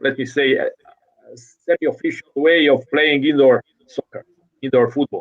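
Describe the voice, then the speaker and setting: A man with a Croatian accent speaks in a monotone, flat intonation at a fairly high pitch. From Croatia (Zagreb). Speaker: futsal coach. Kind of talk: interview. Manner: halting.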